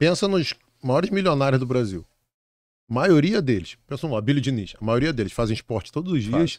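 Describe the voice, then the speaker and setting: At a fairly quick pace, a man's voice makes very wide pitch swings, with a dry sound with no echo and a quiet background. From Brazil, Rio de Janeiro. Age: 50s. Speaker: exam prep author and teacher; teacher. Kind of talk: casual interview chat. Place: studio. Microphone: studio mic.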